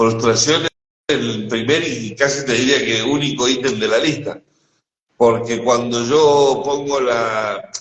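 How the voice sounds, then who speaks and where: A man speaks in a Rioplatense accent at a medium pitch. His pace is fairly slow and his intonation fairly even. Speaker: spiritual teacher. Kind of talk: casual conversation. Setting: live stream.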